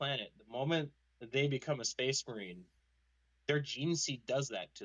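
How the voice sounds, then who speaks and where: Using an unremarkable speaking voice, a man talks at a fairly quick pace, fairly high in pitch and with lively intonation. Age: 20s. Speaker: podcast host. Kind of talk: casual chat. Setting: online voice call.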